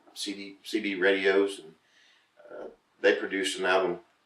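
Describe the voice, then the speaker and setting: The voice belongs to a man. He speaks with a Southern US accent. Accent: southern drawl. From Florida. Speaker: country singer-songwriter. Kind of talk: casual interview.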